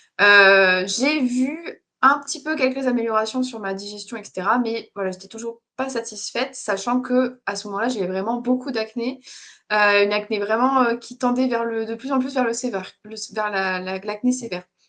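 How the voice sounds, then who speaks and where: A woman speaks at a moderate pace in a fairly high, bright and sharp voice with ordinary pitch variation. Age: 20s. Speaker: interview guest. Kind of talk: casual chat. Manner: halting.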